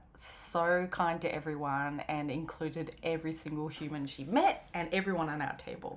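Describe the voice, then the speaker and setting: Her pitch is very deep and low. This woman talks with an Australian accent. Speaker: knitwear designer vlogger. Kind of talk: casual vlog narration.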